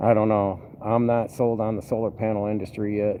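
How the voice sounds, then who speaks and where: A man speaks at a fairly slow pace in a relaxed tone. Background noise is noticeable. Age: 50s. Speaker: vlogger, bus mechanic and former trucker. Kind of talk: casual vlog update. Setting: poolside, outdoors. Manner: relaxed, filler-heavy.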